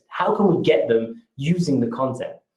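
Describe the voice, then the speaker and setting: Moving at a moderate pace, a man talks with a British accent. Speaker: marketing presenter. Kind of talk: webinar presentation. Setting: webinar. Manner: energetic.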